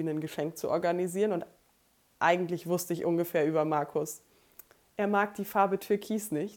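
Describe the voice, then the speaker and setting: This is an ordinary speaking voice, moving at a moderate pace with fairly even intonation. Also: woman. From Germany, rural Lower Saxony (Emsland near Meppen). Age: 20s. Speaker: podcast co-host, bookkeeper and student. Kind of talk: casual chat.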